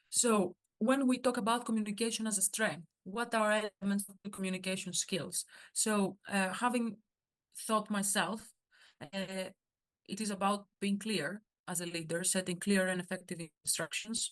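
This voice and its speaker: At a moderate pace and medium pitch, a woman speaks with a Greek accent and fairly even intonation, the sound dry and close with no echo. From Greece. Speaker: workshop speaker, surgical student organization member. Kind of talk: workshop talk. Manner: halting, many fillers.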